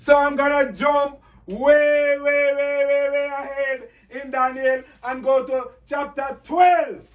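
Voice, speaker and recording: A loud man's voice at an extremely high pitch, very slow, with fairly even intonation. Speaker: pastor. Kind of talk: bible class.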